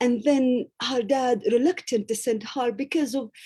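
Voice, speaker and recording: A woman's fairly high, dark and mellow voice with an Arabic accent, at a moderate pace and ordinary pitch variation, on a very clean recording with a silent background. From Gaza, Palestine. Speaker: university professor and author. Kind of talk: interview answer.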